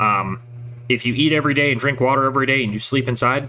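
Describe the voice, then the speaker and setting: A man talks at a very fast pace in an American accent. His medium-pitched voice has a bright, sharp tone and fairly even intonation. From Northern California. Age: 30s. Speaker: streamer. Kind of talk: casual chat. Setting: home garage. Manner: hesitant, many fillers.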